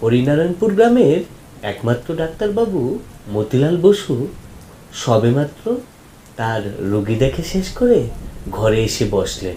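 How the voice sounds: Speaking at a fairly slow pace, a man uses a dark, mellow tone at medium pitch with big pitch swings.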